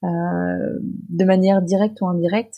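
A woman speaks at a medium pitch. Her tone is dark, mellow and somewhat breathy. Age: 30s. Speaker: nonprofit director. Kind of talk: interview. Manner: hesitant, many fillers.

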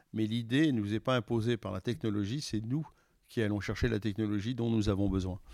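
A man's fairly quick speech comes through on a very clean recording with a silent background. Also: fairly low pitch for a man, fairly even intonation. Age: 60s. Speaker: logistics company executive. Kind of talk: interview. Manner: halting.

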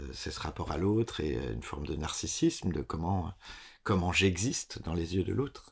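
A man with a very deep, low pitch and vocal fry speaks at a moderate pace. His intonation is lively. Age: 30s. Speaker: theatre director. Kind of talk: interview. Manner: halting.

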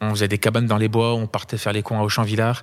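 A man speaks at medium pitch and a very fast pace. The recording is very clean and the background silent. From France, Saint-Étienne. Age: 30s. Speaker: filmmaker and YouTuber. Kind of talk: casual interview. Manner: hesitant, many fillers.

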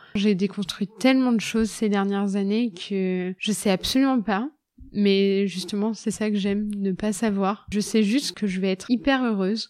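In a very clean recording with a silent background, a woman uses a normal speaking voice at medium pitch, speaking at a fairly slow pace with fairly even intonation. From central France, Loir-et-Cher. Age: 30s. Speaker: nurse. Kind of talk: casual chat.

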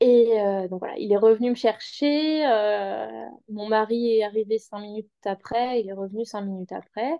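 Speaking fairly slowly, a woman uses a fairly high pitch with ordinary pitch variation. Her loudness swings widely. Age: 20s. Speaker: mother sharing birth story. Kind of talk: personal testimony interview. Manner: calm, measured; hesitant, many fillers.

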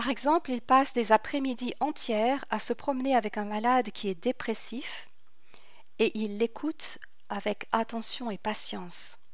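Fairly slow and fairly high-pitched, a woman speaks in an unremarkable speaking voice with ordinary pitch variation. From France, Paris. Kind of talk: religious radio teaching. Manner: formal.

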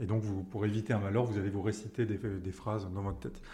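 A man with a fairly low voice speaks with ordinary pitch movement and a somewhat breathy quality. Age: 20s. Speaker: person sharing lived experience of OCD. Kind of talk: testimony. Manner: halting, frequent word repetitions.

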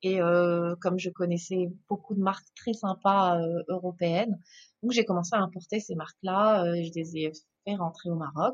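At a moderate pace, a woman with a fairly low pitch speaks with fairly even intonation. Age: 30s. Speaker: entrepreneur and business mentor. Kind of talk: interview. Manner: halting, frequent repetitions.

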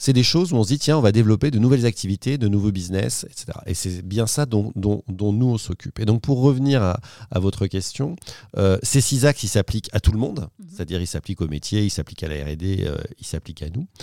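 A man speaks at a fairly quick pace and a fairly low pitch, with lively intonation. His tone is dark and mellow, and the recording is very clean with a silent background. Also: dry, close sound with no echo. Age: 40s. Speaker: corporate innovation executive. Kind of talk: interview.

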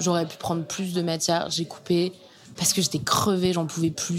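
With monotone, flat intonation, a woman delivers her words at a moderate pace and a fairly low pitch. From Normandy, France (Caen). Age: young. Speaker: journalist and podcast author. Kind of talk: casual interview conversation. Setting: bar in a converted house, sitting in a bathtub.

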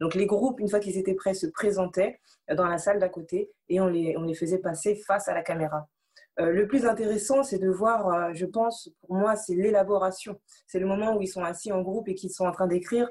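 The pace is moderate. The intonation remains fairly even throughout. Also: woman, medium pitch for a woman. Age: 20s. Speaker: anti-bullying association volunteer. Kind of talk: interview. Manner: halting, many repetitions.

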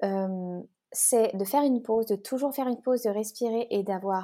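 A woman's dark, mellow tone comes through on a very clean recording against a silent background. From French-Swiss border near Geneva. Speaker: relationship coach. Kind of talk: podcast interview.

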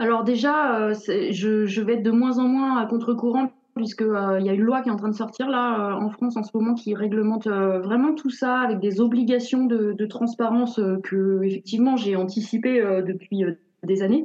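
A woman speaks at a moderate pace and fairly high pitch. Her loudness is very even. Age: 40s. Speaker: author and content creator on budgeting. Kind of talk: interview. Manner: animated; halting, repeats words.

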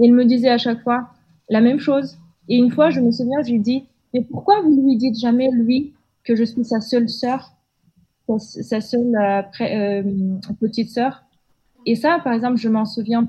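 Delivered at a fairly slow pace in a Kazakh accent, the dark, mellow voice keeps a fairly even intonation and leaves long, frequent pauses. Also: woman, high pitch for a woman. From Kazakhstan, Almaty. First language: Kazakh (speaking French). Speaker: podcast guest. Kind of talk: interview conversation. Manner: halting, many hesitations.

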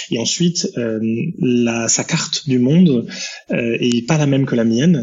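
Here a man speaks at a fairly slow pace. His pitch is medium, with ordinary pitch variation. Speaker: entrepreneur. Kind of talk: podcast interview. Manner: talkative.

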